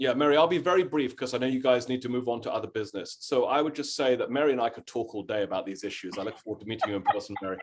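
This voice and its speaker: A man with a British accent speaks at a very fast pace, with hardly any pauses. His pitch is medium and varies in an ordinary way. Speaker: history professor. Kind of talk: lecture-style Q&A answer.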